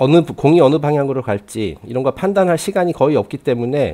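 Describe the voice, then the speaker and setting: A man with a dark, mellow tone, a fairly high pitch, and a moderate pace. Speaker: publisher / channel host. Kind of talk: casual talk to camera, book review. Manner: hesitant, some stammering.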